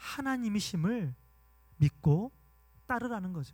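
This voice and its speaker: Speaking very slowly in a raised, projected voice, a man with a slight Gwangju accent has a bright, sharp tone and very wide pitch swings. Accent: slight Gwangju (Jeolla) dialect. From Gwangju, South Korea. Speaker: pastor. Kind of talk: sermon.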